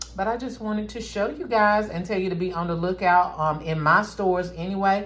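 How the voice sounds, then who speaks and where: A North Carolina accent carries at a moderate pace with fairly even intonation. The room adds an audible echo. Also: woman. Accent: Southern US, North Carolina. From rural North Carolina. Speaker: craft and gift-basket YouTuber. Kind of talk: casual tutorial vlog.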